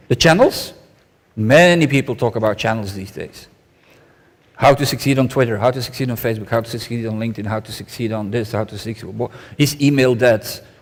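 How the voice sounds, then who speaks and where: A man speaks in a Flemish accent. His pace is fairly quick. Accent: Belgian Dutch-accented English. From Belgium. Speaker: conference speaker. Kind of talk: conference keynote talk. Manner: fast.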